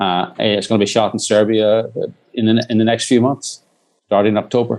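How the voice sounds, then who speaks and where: At a fairly quick pace, a man speaks at a fairly low pitch with monotone, flat intonation and very even loudness. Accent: Irish. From Northern Ireland. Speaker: documentary filmmaker. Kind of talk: interview. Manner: halting, many restarts.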